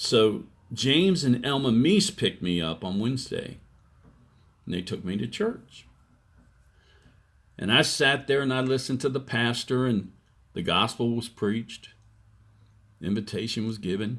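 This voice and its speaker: Lively intonation comes at a moderate pace, broken by long, frequent pauses. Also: man, medium pitch for a man. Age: 60s. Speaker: evangelist vlogger. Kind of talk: testimony. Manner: halting.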